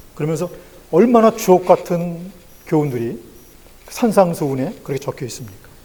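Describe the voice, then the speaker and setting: Speaking at a moderate pace with long, frequent pauses, a man has a high pitch and a dark, mellow tone. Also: lively intonation. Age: 60s. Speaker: pastor. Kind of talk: sermon.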